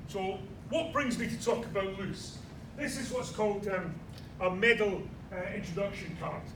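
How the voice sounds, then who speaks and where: A high-pitched man with a Scottish accent at a moderate pace, with long, frequent pauses, ordinary pitch variation, audible room echo and noticeable background noise. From Scotland, Edinburgh. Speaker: military pilot giving a history talk. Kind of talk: lecture. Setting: small audience at a heritage event. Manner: hesitant, many fillers.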